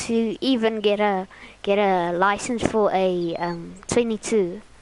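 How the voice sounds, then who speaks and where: Very slow speech from a woman in a South African accent, fairly high in pitch, with ordinary pitch variation. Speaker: gaming streamer. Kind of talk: casual chat. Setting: live stream. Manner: halting.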